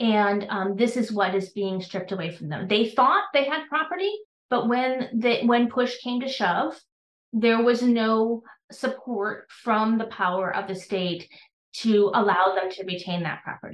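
A woman with an American accent speaks at a fairly slow pace, with a fairly high pitch. She has an unremarkable speaking voice with ordinary pitch variation. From US Midwest, Wisconsin. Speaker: law professor. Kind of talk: interview.

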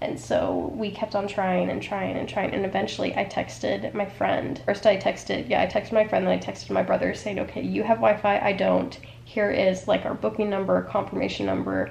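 A woman speaks at a fairly quick pace. There is audible room echo and light background noise. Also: hardly any pauses. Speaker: travel vlogger. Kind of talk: casual vlog chat. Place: home room. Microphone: phone near.

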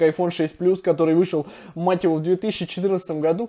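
A man speaks in a monotone, flat intonation with a high pitch. The background is quiet. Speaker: tech reviewer. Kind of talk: casual review commentary. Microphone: phone near.

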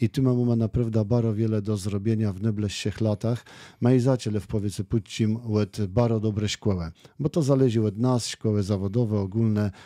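Against a quiet background and in a dry sound with no echo, a man speaks fairly quickly in a dark, mellow tone with fairly low pitch and fairly even intonation. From Kashubia, Poland. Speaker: local politician. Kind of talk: radio interview. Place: studio. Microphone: studio mic.

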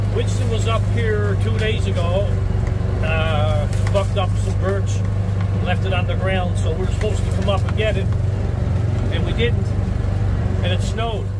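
Loud background noise accompanies a man talking at a moderate pace, broken by long, frequent pauses. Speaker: firewood cutter vlogger. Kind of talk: casual vlog chat. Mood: relaxed, cheerful. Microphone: phone near.

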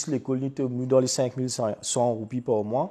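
A man with a Mauritian accent talks at a fairly slow pace in a medium pitch, his tone dark and mellow. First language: Mauritian Creole (speaking French). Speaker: interviewee, working parent. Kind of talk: testimony.

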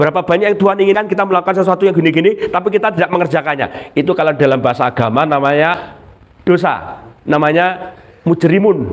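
A high-pitched man with an animated tone, very fast pace, ordinary pitch variation and very even loudness. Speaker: Islamic preacher. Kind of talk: religious study talk.

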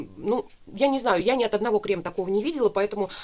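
A woman at a very fast pace, with ordinary pitch variation. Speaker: beauty product reviewer. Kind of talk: casual vlog chat. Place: home room. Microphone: camera far.

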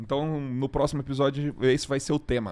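At a moderate pace, a man talks in a normal speaking voice with a fairly high pitch, on a very clean recording with a silent background. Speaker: agronomist podcast host. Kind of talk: casual interview-style podcast chat.

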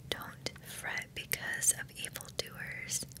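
A whisper at a very slow pace. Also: woman. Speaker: ASMR creator. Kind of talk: relaxing Bible reading. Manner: soft-spoken, slow. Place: home room. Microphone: studio mic.

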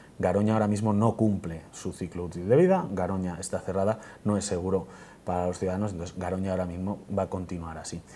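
A man speaks at a very fast pace in a very deep, low voice with a dark, mellow tone. His intonation is monotone and flat, with light background noise. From Spain, Burgos; Spain. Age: 30s. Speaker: parliamentary candidate; candidate. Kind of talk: TV interview; interview answer. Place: studio. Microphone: lapel.

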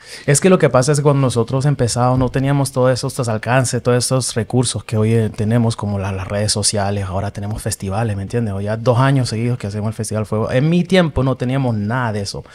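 This man talks at a very fast pace with hardly any pauses and ordinary pitch variation. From Honduras. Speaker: reggaeton singer. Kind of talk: casual interview. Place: studio. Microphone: studio mic.

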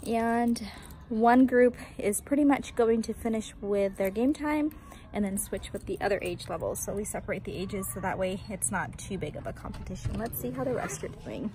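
Over music in the background, the dry, echo-free speech has lively intonation and a moderate pace. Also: woman. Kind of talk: casual vlog chat. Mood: upbeat, enthusiastic. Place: street. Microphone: phone near.

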